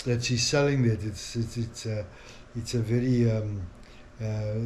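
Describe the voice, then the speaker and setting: Delivered at a fairly slow pace, the voice stays monotone and flat while audible room echo surrounds it. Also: man. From South Africa. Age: 60s. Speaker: family vlogger. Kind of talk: casual vlog monologue. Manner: halting, many fillers.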